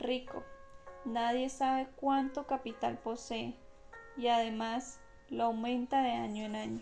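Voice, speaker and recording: A woman's high pitch and calm tone at a very slow pace, with music in the background. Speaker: audiobook narrator. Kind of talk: audiobook reading of a classic novel. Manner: slow, calm.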